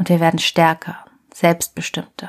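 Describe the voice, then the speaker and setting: A woman's fairly low voice at a fairly slow pace. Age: 30s. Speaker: podcast host and journalist. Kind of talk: scripted narration.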